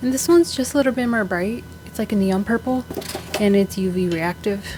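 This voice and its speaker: Over noticeable background noise, a woman talks fairly quickly at a medium pitch with lively intonation. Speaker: beauty vlogger. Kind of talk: casual chat.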